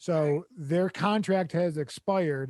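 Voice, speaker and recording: On a very clean recording with a silent background and a dry, close sound with no echo, a man speaks in a high pitch with ordinary pitch variation and a dark, mellow tone. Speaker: comedy podcast host; actor. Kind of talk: casual chat. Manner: mumbling.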